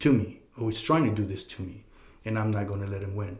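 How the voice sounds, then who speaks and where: Fairly low-pitched, somewhat breathy male speech at a moderate pace, with fairly even intonation and audible room echo. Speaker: podcast host. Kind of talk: casual advice monologue. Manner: halting, many fillers and repeated words.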